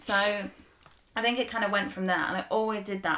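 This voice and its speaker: An ordinary speaking voice from a woman, at a fairly quick pace with fairly even intonation. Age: 20s. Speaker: food content creator. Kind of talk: casual chat.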